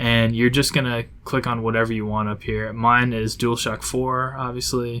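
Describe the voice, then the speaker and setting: A man talks at a moderate pace in a medium pitch, his intonation monotone and flat. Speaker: gaming tutorial youtuber. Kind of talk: tutorial. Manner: hesitant, many fillers; casual.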